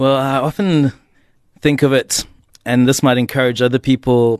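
A man with an unremarkable speaking voice talks at medium pitch and a fairly slow pace, with fairly even intonation. The sound is dry and close with no echo, over a quiet background. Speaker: artist and minister. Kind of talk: casual radio interview. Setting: radio studio.

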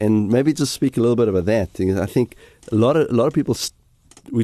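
A man's medium-pitched voice with a dark, mellow tone and ordinary pitch variation, dry and close with no echo, over a quiet background. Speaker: pastor. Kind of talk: casual chat. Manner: halting.

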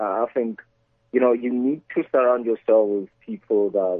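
This man has a plain, everyday voice at medium pitch. He talks at a moderate pace. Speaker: entrepreneur and investor. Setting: phone call.

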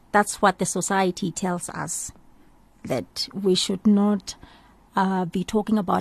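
The somewhat breathy voice moves at a fairly slow pace with fairly even intonation, in a dry, close sound with no echo. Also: woman. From South Africa, townships. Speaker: radio host. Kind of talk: radio show presenting. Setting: studio.

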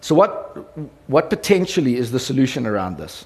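The voice carries a South African accent. It moves at a fairly quick pace. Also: man. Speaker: radio company executive. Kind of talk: conference talk. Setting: stage with audience. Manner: animated.

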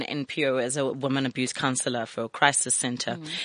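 A woman rushes along at a very fast pace while noticeable background noise can be heard. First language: not English. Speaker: radio host. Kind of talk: reading aloud; interview. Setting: studio.

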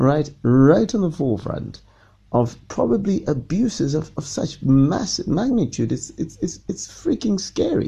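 With very wide pitch swings, a man's fairly high voice shows vocal fry and a dark, mellow tone. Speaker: podcast host and radio presenter. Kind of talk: casual monologue. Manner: hesitant with repetitions; unscripted.

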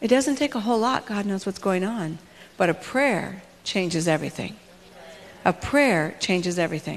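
This woman has a normal speaking voice, a medium pitch, lively intonation and a moderate pace. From US West Coast, Los Angeles. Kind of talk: motivational talk. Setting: stage with audience.

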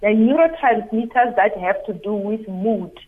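The speaker uses a normal speaking voice with lively intonation. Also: woman. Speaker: psychologist. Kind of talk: radio interview. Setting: phone line.

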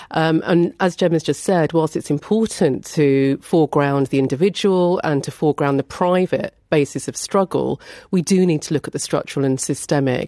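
The voice is dark and mellow, moving at a moderate pace with ordinary pitch variation, recorded dry and close with no echo against a quiet background. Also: woman, very deep, low pitch for a woman. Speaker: professor. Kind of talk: interview. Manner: formal.

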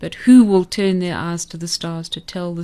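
A woman with a South African accent, medium in pitch and moderate in pace, against a quiet background. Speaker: poet and former teacher. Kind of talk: radio interview. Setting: studio.

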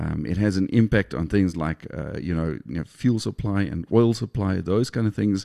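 A man talks at a moderate pace in a fairly low, dark, mellow voice. The sound is dry and close with no echo, over a quiet background. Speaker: podcast host. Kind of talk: interview. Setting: studio.

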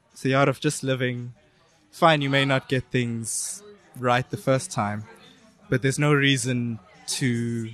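At a fairly slow pace, a man with a medium-pitched voice speaks with fairly even intonation over noticeable background noise. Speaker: penetration tester. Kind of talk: casual chat. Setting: outdoors.

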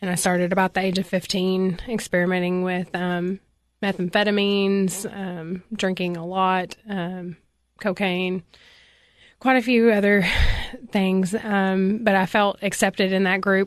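A woman with a Southern US accent speaks in a flat monotone against a quiet background. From Tennessee, Cookeville area. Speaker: ministry director, recovering addict. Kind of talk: testimony. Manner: hesitant, many filler words.

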